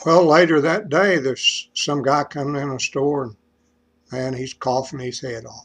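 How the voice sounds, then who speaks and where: Speaking fairly slowly, a man uses an Appalachian accent and a fairly high voice. His pitch moves with ordinary variation. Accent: Appalachian Kentucky. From eastern Kentucky. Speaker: joke teller vlogger. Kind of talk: casual joke telling monologue. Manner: stammering.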